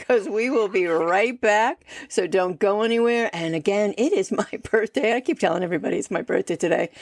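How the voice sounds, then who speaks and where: A woman talks at a fairly quick pace with medium pitch and lively intonation, in a normal speaking voice. The sound is dry and close, with no echo. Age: 60s. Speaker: podcast host. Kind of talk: casual chat.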